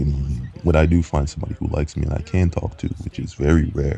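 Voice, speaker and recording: A man speaks with fairly even intonation at a very deep, low pitch. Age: 20s. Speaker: vlogger. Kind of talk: personal monologue vlog. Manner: halting, many fillers and repeats.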